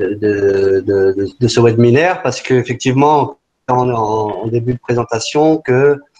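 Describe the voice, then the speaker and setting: A man's medium-pitched voice, dark and mellow in tone, with ordinary pitch variation and a fairly slow pace. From France, Paris region. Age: 40s. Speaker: entrepreneur. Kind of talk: webinar talk. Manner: halting, many fillers and repetitions.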